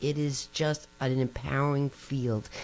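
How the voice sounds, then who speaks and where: A woman with a New Jersey accent and a very deep, low pitch. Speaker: nutrition professor. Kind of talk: interview. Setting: podcast.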